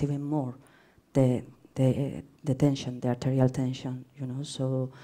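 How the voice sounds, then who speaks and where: A woman with a Spanish accent, very deep and low in pitch, dark and mellow in tone, at a fairly slow pace. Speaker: researcher presenting at academic seminar. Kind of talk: conference Q&A. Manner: halting.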